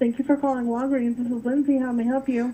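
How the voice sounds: At a fast pace, a woman speaks at a fairly high pitch with a dark, mellow tone and little pitch movement.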